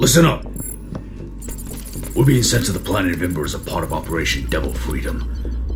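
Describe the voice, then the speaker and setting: A man's put-on character voice at a fairly quick pace amid loud background noise. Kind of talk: audio drama performance.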